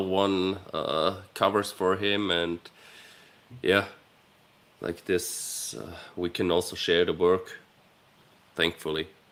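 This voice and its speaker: In an Austrian accent, a man speaks at a very slow pace. His fairly low voice stays monotone and flat. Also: long, frequent pauses. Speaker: YouTube channel co-host. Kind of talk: live stream chat.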